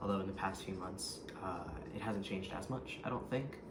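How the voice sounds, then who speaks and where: With noticeable background noise and audible room echo, a man speaks at a moderate pace in a fairly low pitch with ordinary pitch variation. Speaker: vlogger. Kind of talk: personal vlog update. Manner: hesitant, many ums.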